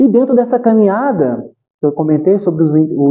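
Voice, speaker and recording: A man speaks with a high pitch. His voice swings very widely in pitch. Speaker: spiritist lecturer. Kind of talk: spiritual talk. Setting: spiritist center meeting with audience.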